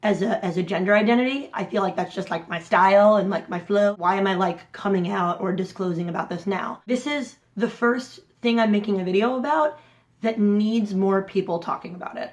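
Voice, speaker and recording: A woman of medium pitch speaks at a fairly quick pace, with an animated tone and ordinary pitch variation. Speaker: vlogger and intersex advocate. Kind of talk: personal vlog. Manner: fast.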